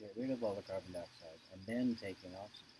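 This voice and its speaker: Somewhat breathy and fairly low, a man's voice moves at a moderate pace with fairly even intonation. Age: 70s. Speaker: yoga teacher. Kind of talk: interview answer.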